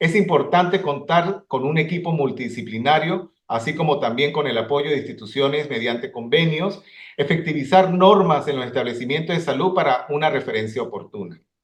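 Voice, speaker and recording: Somewhat breathy and fairly high-pitched, a man speaks with lively intonation and hardly any pauses. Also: moderate pace. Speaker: ophthalmologist. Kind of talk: conference lecture. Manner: halting.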